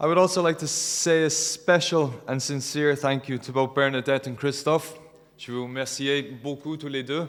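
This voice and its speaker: Noticeable background noise accompanies a man talking at a moderate pace. His loudness swings widely while his intonation stays fairly even. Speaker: wedding guest giving a speech. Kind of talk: wedding speech. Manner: halting.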